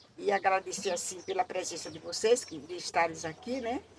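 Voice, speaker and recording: A woman speaks with a medium pitch. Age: 80s+. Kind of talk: life story testimony.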